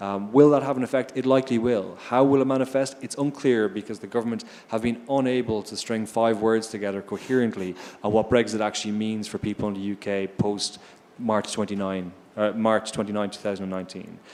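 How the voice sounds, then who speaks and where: A man with an Irish accent speaks at a fairly quick pace with fairly even intonation. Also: medium pitch for a man. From Ireland. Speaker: investor on a finance panel. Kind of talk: panel discussion.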